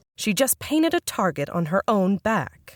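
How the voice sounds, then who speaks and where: Using a put-on character voice, a woman growls at medium pitch with very wide pitch swings. Her tone is confident, and her pace is moderate. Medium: audio drama. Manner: poised, cool, confident.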